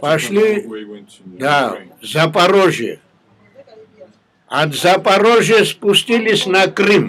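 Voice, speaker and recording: Pausing long and often, a man speaks at a very slow pace in a high pitch with ordinary pitch variation. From Georgia. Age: 80s+. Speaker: war veteran. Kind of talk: interview answer.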